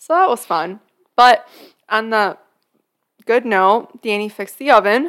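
With lively intonation, a woman speaks at a fairly high pitch. Her pace is fairly slow, broken by long, frequent pauses. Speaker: podcast host. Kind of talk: casual chat.

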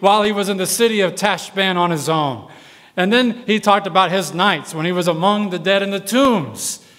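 The voice is an unforced reading voice. Its intonation is fairly even.

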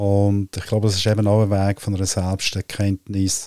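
Speaking in a Central Swiss accent, a man talks fairly slowly at a fairly low pitch with a dark, mellow tone and fairly even intonation, dry and close with no echo on a very clean recording with a silent background. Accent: Lucerne Swiss German. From Switzerland, Lucerne area. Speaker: business coach and astrologer. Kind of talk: casual interview conversation. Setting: on a sofa at the host's place. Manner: halting with many fillers.

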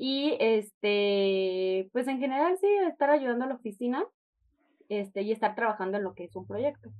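In a plain, everyday voice, a woman talks at a moderate pace with lively intonation and big swings in loudness. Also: fairly high pitch for a woman. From Chihuahua, northern Mexico. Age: 20s. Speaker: language club member and intern. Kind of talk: interview.

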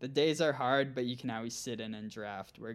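This man speaks with an Upper Midwest accent. His pitch varies in an ordinary way. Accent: Upper Midwest American. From central Minnesota. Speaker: gravel cycling pro and coach. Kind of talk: casual interview.

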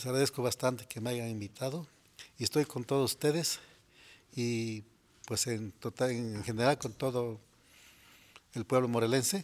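Male speech at a moderate pace, fairly even in intonation, with long, frequent pauses. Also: medium pitch for a man. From Mexico, Morelos (Xalostoc). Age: 60s. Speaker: farmer. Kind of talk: interview. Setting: studio.

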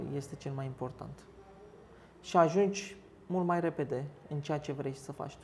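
A woman with a Turkish accent speaks in a very deep, low voice with ordinary pitch variation. Her moderate pace has long, frequent pauses and big swings in loudness. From Istanbul, Turkey; in Romania from age 11. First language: Turkish (speaking Romanian). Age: 40s. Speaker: restaurant owner. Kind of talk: interview.

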